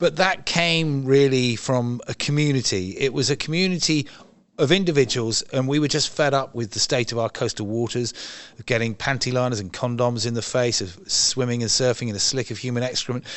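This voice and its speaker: A man with an English accent, fairly quick in pace, medium in pitch, with ordinary pitch variation. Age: 60s. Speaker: environmental campaigner. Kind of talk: interview. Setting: event venue.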